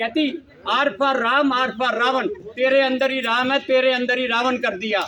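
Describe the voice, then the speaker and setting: A man speaks at an extremely high pitch in a raised, projected voice. Noticeable background noise runs underneath. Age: 70s. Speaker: health talk speaker. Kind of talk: personal testimony talk. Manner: animated storytelling.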